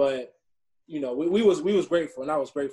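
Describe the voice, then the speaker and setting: A dark, mellow tone in an Atlanta accent. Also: man. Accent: US South (Atlanta). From Atlanta, Georgia. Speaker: minor league baseball player. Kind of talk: podcast interview.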